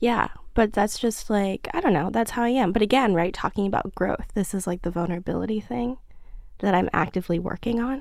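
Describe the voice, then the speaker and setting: Someone talks at a fairly quick pace in a New York accent, with ordinary pitch variation. The recording is very clean, with a silent background. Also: woman, medium pitch for a woman. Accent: New York American. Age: 20s. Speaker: magazine creative director. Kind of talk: casual chat. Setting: studio.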